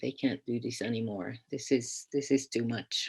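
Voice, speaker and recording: This woman talks at a fairly slow pace in a Hungarian accent. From Hungary. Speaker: teacher educator. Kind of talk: keynote speech. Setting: online conference. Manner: hesitant, many repetitions and fillers.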